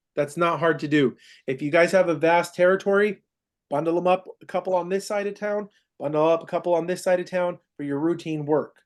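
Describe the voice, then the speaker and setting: A man talks at a fairly quick pace in a high voice. His intonation is fairly even. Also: quiet background. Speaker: process serving company manager training staff. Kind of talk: staff training meeting. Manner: fast.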